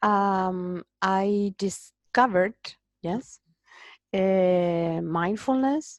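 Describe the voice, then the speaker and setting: With a Spanish accent, a woman speaks at a very slow pace in a medium pitch with ordinary pitch variation, the sound dry and close with no echo over a quiet background. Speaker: migraine patient. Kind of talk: interview.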